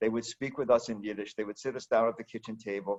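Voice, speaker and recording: With an American accent, a man speaks at medium pitch with fairly even intonation in a normal speaking voice. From United States. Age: 60s. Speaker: founder of a book center. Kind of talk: interview.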